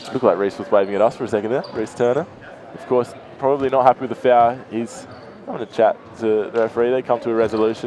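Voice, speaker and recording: A man speaks very fast with an Australian accent. His intonation stays fairly even over noticeable background noise. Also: medium pitch for a man. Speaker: basketball commentator. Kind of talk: live commentary.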